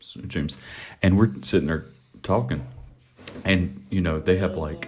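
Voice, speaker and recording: With a Southern US accent, a man speaks at a fairly slow pace in a very deep, low pitch with vocal fry, ordinary pitch variation and long, frequent pauses. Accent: American Southern. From US South, Mississippi. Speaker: podcast host. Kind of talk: casual chat. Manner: loud.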